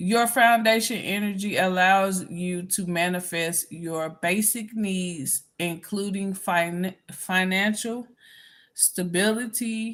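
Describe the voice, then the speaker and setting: A woman of medium pitch speaks very slowly with fairly even intonation. The recording is very clean with a silent background. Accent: Southern US. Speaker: spiritual healer. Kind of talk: reading aloud with commentary. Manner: halting, many fillers.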